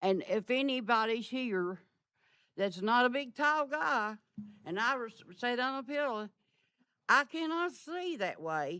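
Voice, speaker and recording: A woman with an East Tennessee accent speaks at a fairly slow pace with long, frequent pauses. Her high pitch makes very wide swings, and her tone is bright and sharp. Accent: Southern US (East Tennessee). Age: 80s+. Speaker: resident speaking at public comment. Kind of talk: public comment complaint. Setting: council meeting chamber. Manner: halting.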